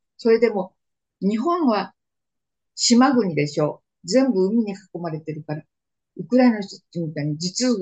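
Moderately paced, somewhat breathy speech from a woman. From Manchuria (northeast China), Japanese settler community. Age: 90s. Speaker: war survivor. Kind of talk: interview testimony.

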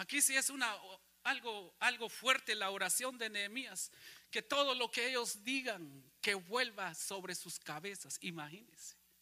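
A man projects a raised voice with a bright, sharp tone. He goes at a fairly slow pace with ordinary pitch variation. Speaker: pastor. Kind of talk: sermon, preacher in full flow, rhetorical questions to congregation. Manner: animated, emphatic, rising-and-falling delivery, repeating phrases, mocking voices; rhetorical audience questions, repeated for emphasis.

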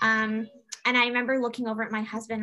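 A woman with a Canadian accent and fairly high pitch, fairly even intonation, noticeable background noise behind her. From Canada, Toronto. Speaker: doula and former military member. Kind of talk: casual interview.

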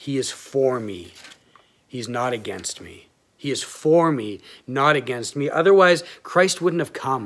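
In an unremarkable speaking voice, a man of medium pitch talks at a fairly slow pace with lively intonation and big swings in loudness. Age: 30s. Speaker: pastor. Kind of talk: sermon.

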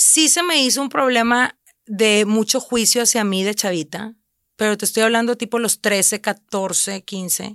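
A woman's unremarkable speaking voice, fairly high in pitch with ordinary pitch variation, on a very clean recording with a silent background and a dry, close sound with no echo. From Mexico, Reynosa (Tamaulipas border). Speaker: food content creator and cookbook publisher. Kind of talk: casual chat.

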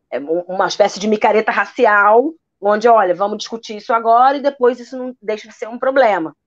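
A woman with an ordinary speaking voice, fairly high in pitch and talking at a fairly quick pace. Her pitch varies in an ordinary way while her loudness swings widely. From Rio de Janeiro (Praça Seca). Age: 30s. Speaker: architect and urbanist, activist. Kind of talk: interview.

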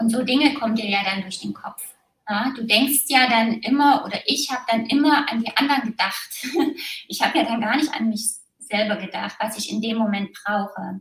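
A woman with a plain, everyday voice and a fairly high pitch speaks at a moderate pace with ordinary pitch variation. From East Germany, small village. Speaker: former competitive athlete. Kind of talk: interview testimony.

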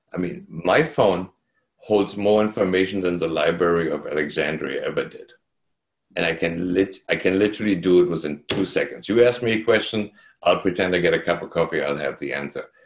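A man speaks with a very deep, low pitch and ordinary pitch variation at a fairly quick pace. The recording is very clean with a silent background. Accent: German. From East Germany. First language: German. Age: 60s. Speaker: real estate agent. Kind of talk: interview storytelling. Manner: calm.

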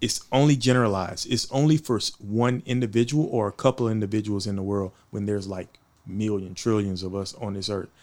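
A man speaks at a fairly quick pace with a plain, everyday voice. His pitch is fairly low, with ordinary variation. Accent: American. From Houston, Texas (Fifth Ward). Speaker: marine veteran and music producer. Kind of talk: casual interview.

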